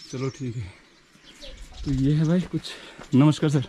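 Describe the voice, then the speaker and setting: A man speaks with noticeable background noise. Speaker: travel vlogger. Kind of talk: vlog walk-and-talk with villager interviews. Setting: outdoors, mountain trail. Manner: casual, friendly.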